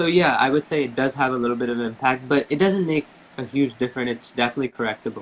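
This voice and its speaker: A man talks at a very fast pace in a medium pitch with ordinary pitch variation. Noticeable background noise is present. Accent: American. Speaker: tabla player. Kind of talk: interview.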